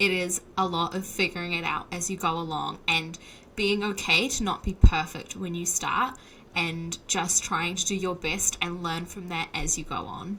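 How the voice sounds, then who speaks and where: With a New Zealand accent, a woman speaks at a moderate pace in a fairly low pitch, her intonation fairly even. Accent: Kiwi. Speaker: software developer, podcaster. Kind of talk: interview.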